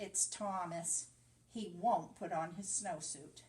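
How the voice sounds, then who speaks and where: Using a put-on character voice, a woman speaks at a fairly slow pace with a fairly low pitch. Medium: read story.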